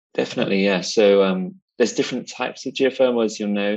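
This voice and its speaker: Fairly low in pitch, a man's voice holds a fairly even intonation. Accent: British. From UK. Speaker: UN climate and energy advisor. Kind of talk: interview.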